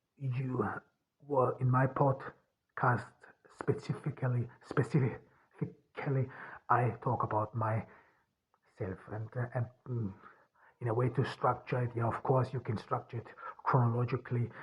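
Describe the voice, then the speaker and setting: A man's medium-pitched, somewhat breathy voice, flat and monotone, at a fairly slow pace with long, frequent pauses. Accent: Austrian. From rural Austria. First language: German. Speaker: author and podcaster. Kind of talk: solo podcast monologue. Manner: halting, many fillers and restarts.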